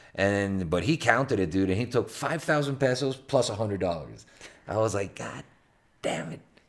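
With a Spanish accent, a man speaks at a moderate pace. His voice sits fairly low, with lively intonation. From Venezuela, Caracas. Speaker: podcast host. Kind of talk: casual chat. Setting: hotel room.

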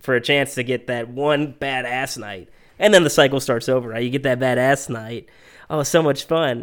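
On a very clean recording with a silent background, a man with an unremarkable speaking voice talks at a moderate pace and medium pitch, with ordinary pitch variation. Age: 20s. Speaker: podcast co-host. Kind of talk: casual chat. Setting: studio.

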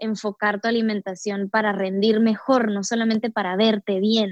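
In a dry, close sound with no echo, a woman with an unremarkable speaking voice talks at a fairly slow pace and a fairly high pitch. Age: 20s. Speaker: yoga practitioner and entrepreneur. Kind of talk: casual interview.

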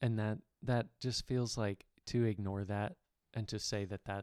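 In a normal speaking voice, a man talks at a fairly low pitch and moderate pace with fairly even intonation, the sound dry and close with no echo. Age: 30s. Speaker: podcast co-host, landscaper. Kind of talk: casual faith discussion.

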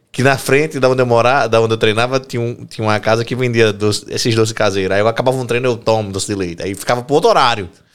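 A man at a very fast pace, medium in pitch, with fairly even intonation and hardly any pauses. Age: 30s. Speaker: podcast host and physical education teacher. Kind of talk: casual chat.

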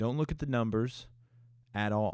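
A man's fairly low voice, with ordinary pitch variation, is captured on a very clean recording against a silent background. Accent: American. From Texas, Houston. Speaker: podcast host. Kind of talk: casual solo monologue. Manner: animated.

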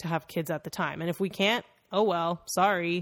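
With a normal speaking voice, a woman talks at a moderate pace in a fairly low pitch with ordinary variation, captured on a very clean recording with a silent background. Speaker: podcast co-host.

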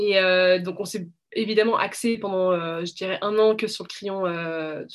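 A normal speaking voice from a woman, with fairly even intonation at a medium pitch. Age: 20s. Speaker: media co-founder. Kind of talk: interview.

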